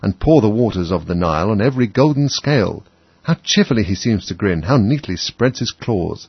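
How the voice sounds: This natural reading voice has lively intonation throughout.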